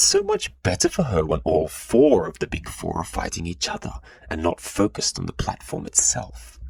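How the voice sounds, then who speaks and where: A man puts on a playful, raspy character voice with a very deep, low pitch, talking at a moderate pace. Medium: read story. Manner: playful yet icy.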